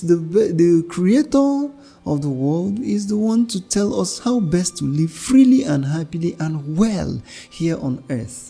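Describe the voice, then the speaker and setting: With music in the background, a man speaks fairly slowly in a high pitch that swings very widely. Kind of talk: homily.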